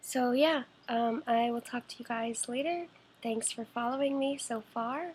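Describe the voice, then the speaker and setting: A woman speaks quietly and at a high pitch. Her pace is fairly slow. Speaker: vlogger with cystic fibrosis. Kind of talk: video diary. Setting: at home. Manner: hesitant.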